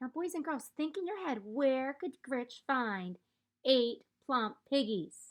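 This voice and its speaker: In a put-on character voice, a woman cackles at a high, shrill pitch. She delivers it at a fairly slow pace. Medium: read story. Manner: cackling, shrill.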